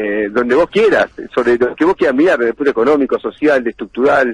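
A man with very wide pitch swings at a fairly quick pace, dry sound with no echo. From Argentina. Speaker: politician. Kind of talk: radio interview. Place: studio.

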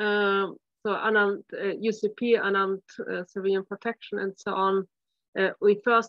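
The speech comes at a moderate pace in a flat monotone. The sound is dry with no echo, over a quiet background. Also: woman. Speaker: presenter. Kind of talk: lecture. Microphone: video call.

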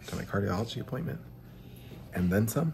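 A man with a very deep, low pitch is heard amid noticeable background noise. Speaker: vlogger. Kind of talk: casual vlog chat. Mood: happy, relieved. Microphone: phone near.

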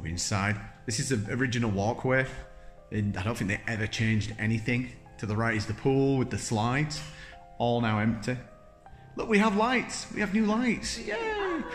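Delivered at a moderate pace with long, frequent pauses, the speech has faint music playing behind it. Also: man. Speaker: vlogger. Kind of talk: casual vlog chat. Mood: excited, upbeat. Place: hall. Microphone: phone near.

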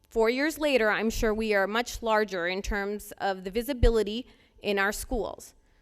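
In a very clean recording with a silent background, a woman with an unremarkable speaking voice talks at a moderate pace, her fairly high pitch showing ordinary variation. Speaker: resident speaking at public comment. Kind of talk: public comment at board meeting. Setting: public board meeting.

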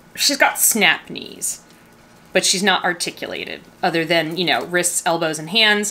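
Whispering at a moderate pace, a woman speaks. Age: 50s. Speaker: doll collector YouTuber. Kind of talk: casual review. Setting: home studio. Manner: animated. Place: studio.

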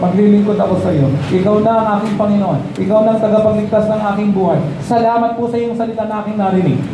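This man's voice is high in pitch and animated, moving at a fairly quick pace. Noticeable background noise and audible room echo fill the recording. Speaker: pastor. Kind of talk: sermon with altar call, preaching then leading a prayer. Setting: church with congregation. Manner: animated, emphatic, repeating phrases, call-and-response with the congregation; coaxing and warm when inviting people forward. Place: church. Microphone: handheld.

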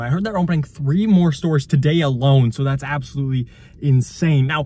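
At a fairly quick pace, a man talks at a fairly high pitch with ordinary pitch variation. His tone is slightly mellow.

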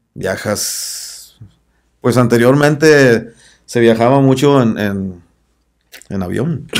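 Over a quiet background, a man speaks at a very slow pace with long, frequent pauses and ordinary pitch variation. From Tepic, Nayarit, Mexico; Nayarit, Mexico. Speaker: band singer; podcast guest. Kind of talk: interview. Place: studio. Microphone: studio mic.

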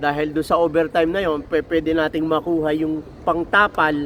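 A man talks with a fairly high pitch. His pace is moderate. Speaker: truck mechanic and vlogger. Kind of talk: casual vlog monologue. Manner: halting, many fillers.

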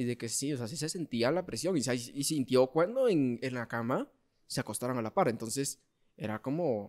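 A man speaks in a normal speaking voice at a medium pitch and moderate pace. His pitch variation is ordinary, and the background is quiet. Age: 20s. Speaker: podcast host. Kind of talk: casual chat. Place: home room. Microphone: studio mic.

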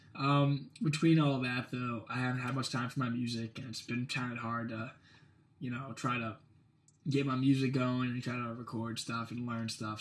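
At a moderate pace, a man speaks in a somewhat breathy, medium-pitched voice with monotone, flat intonation. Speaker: musician vlogger. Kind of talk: casual vlog update. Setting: dorm room. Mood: apologetic, relaxed. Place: home room. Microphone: webcam.

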